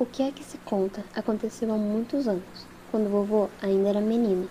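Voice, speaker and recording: Soft-spoken and soothing, a woman with a fairly high pitch talks at a moderate pace with fairly even intonation. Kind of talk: ASMR audiobook reading with rain sounds. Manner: soft-spoken, soothing, relaxing.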